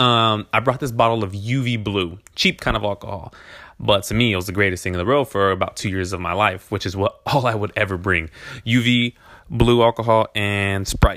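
A man talks at a moderate pace with a fairly low pitch. He has a plain, everyday voice and fairly even intonation. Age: 20s. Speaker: podcast host. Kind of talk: casual monologue. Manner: laid-back, rambling with fillers.

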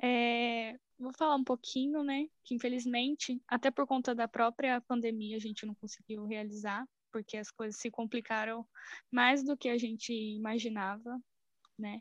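A woman speaks at a fairly slow pace. The sound is dry and close with no echo, and the background is quiet. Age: 20s. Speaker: biology student, club member. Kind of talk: casual chat.

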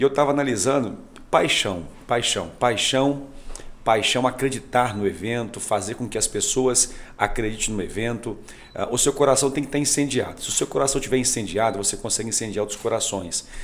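With a normal speaking voice at a medium pitch, a man talks at a fairly quick pace and with ordinary pitch variation. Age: 40s. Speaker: pastor and youth leader. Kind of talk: podcast interview.

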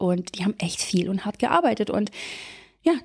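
A woman's dark, mellow tone at a medium pitch, on a very clean recording with a silent background. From Germany. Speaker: life coach. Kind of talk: coaching talk. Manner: animated.

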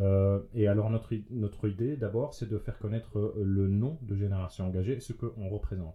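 With a normal speaking voice, a man talks at a moderate pace and fairly low pitch, keeping fairly even intonation and hardly any pauses. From Belgium, Liège region. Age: 30s. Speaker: youth political representative. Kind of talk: casual conversation.

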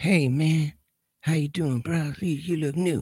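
A raspy, put-on character voice at middle pitch moves along at a fairly slow pace. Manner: casual, friendly.

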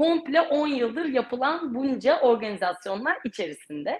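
Her pitch swings very widely as a woman speaks in a high voice. She keeps a fairly slow pace. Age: 30s. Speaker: ultramarathon runner. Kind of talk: interview.

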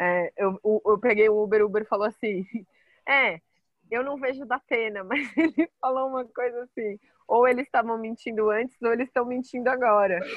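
The pitch varies in an ordinary way as the words come at a moderate pace. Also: woman, fairly high pitch for a woman. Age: 30s. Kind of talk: casual chat.

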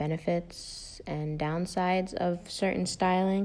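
The voice is a woman's, pitched fairly low. The recording is very clean, with a silent background. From United States. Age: 20s. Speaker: mother sharing experiences. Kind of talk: personal reflection.

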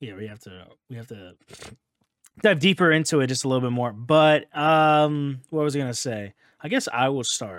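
A normal speaking voice from a man, medium in pitch, with lively intonation, big swings in loudness and a moderate pace. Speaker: podcast host. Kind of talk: casual chat.

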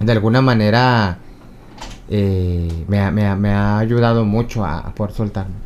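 Against audible room echo, a man speaks at a fairly slow pace with a fairly low pitch. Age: 40s. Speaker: comedian. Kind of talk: casual interview. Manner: animated, laughing.

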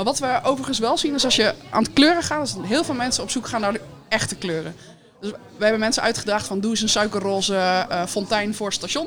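Against noticeable background noise, a woman speaks at a very fast pace. Her pitch is fairly high and her intonation lively. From Netherlands, Woerden. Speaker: municipal employee and heritage day organiser. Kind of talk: casual radio interview. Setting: live broadcast from a café.

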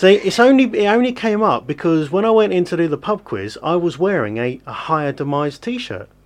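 A man's high-pitched voice at a fairly quick pace, with lively intonation

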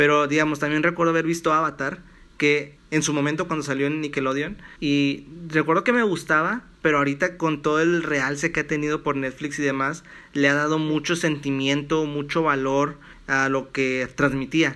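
Fairly high-pitched male speech, bright and sharp in tone, with fairly even intonation and a moderate pace on a very clean recording with a silent background. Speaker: podcast host and economics student. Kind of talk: casual chat. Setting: at home in his bedroom.

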